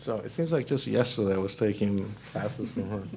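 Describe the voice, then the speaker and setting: A man with a Mexican accent speaks with lively intonation. Audible room echo surrounds his voice. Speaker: panel moderator, corporate credit risk director. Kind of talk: panel discussion moderation. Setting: conference breakout session with audience.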